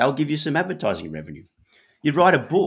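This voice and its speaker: Speaking in an Australian accent, a man uses a fairly high pitch marked by vocal fry. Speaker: author and entrepreneur. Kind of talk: casual interview chat. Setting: live stream video call.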